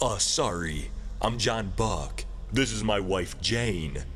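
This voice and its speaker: A man in a put-on character voice, fairly low in pitch, speaks at a very slow pace against clear background noise. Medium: read story. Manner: hesitant, awkward, halting.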